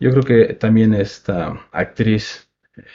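A man's voice sits at a medium pitch. It sounds somewhat breathy. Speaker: film podcast host. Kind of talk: casual chat. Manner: soft-spoken.

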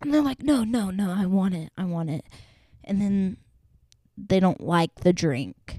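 A woman of medium pitch speaks at a fairly slow pace with lively intonation, a dark, mellow tone, and a somewhat breathy quality, leaving long, frequent pauses in a very clean recording with a silent background and a dry, close sound with no echo. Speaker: solo podcaster and barista. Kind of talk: casual solo chat. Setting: home, at desk. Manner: breathless, big breaths after talking.

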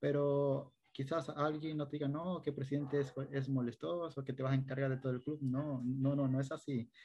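A man with a coastal Ecuadorian accent speaks at a moderate pace and a fairly high pitch, in a dark, mellow, somewhat breathy tone, with monotone, flat intonation, very even loudness, and hardly any pauses. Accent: Ecuadorian coastal (costeño). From Ecuador, coastal El Oro province (Machala). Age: 20s. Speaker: youth service club volunteer leader. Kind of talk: interview conversation.

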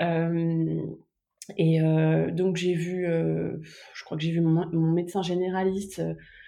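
Her delivery is monotone and flat, at a very slow pace with long, frequent pauses. The woman's pitch is fairly low, and audible room echo fills the recording. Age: 30s. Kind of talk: personal testimony interview.

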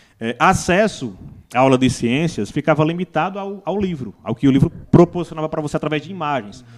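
On a very clean recording with a silent background, a man speaks with vocal fry, a fairly high pitch and lively intonation. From Brazil, Northeast (Paraíba). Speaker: biologist and teacher. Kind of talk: casual chat. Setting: studio.

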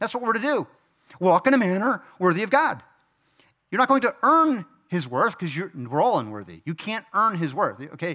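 In a raised, projected voice, a man speaks at a moderate pace, his tone bright and sharp, his pitch high and swinging very widely. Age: 40s. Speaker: men's Bible study teacher. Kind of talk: Bible study teaching. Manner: casual.

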